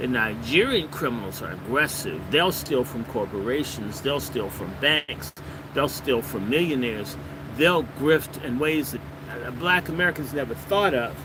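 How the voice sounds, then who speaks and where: Over noticeable background noise, a man speaks at a moderate pace in an animated tone with lively intonation. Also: medium pitch for a man. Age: 60s. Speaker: political commentator. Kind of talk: monologue livestream.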